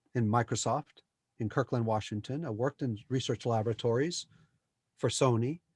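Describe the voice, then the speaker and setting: A somewhat breathy man speaks at a medium pitch and moderate pace with ordinary pitch variation. The recording is very clean and dry, close with no echo, and the background is silent. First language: Spanish. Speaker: spiritual teacher, former software engineer. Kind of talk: interview about spirituality. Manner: animated.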